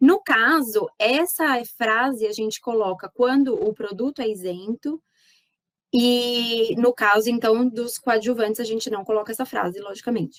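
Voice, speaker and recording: A woman talks at a fairly slow pace and a fairly high pitch with ordinary pitch variation, the sound dry and close with no echo. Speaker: animal scientist, pet nutrition consultant. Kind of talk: lecture. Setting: online talk. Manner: animated.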